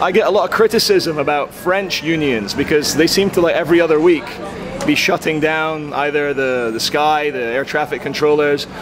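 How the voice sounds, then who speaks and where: A man speaks at a moderate pace with a fairly high pitch. His pitch varies in an ordinary way, and there is noticeable background noise. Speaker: interviewer, video blogger. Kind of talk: street interview questions. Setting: outdoors, street.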